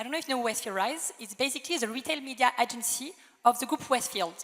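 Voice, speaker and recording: Speaking very fast with a French accent, this voice shows ordinary pitch variation over noticeable background noise. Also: woman. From France. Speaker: retail media executive. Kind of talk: panel debate. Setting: stage with audience.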